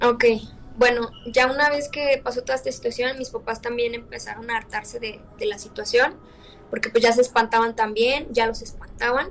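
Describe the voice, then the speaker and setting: Noticeable background noise runs behind a woman with a high pitch who speaks fairly quickly in a fairly even intonation. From León, Spain or Mexico. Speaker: interviewee telling a real horror experience. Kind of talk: interview answer, personal horror story told over video call.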